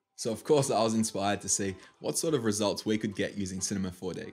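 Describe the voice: Faint music plays in the background as a man talks at a fairly quick pace. His voice has a slightly husky edge and ordinary pitch variation.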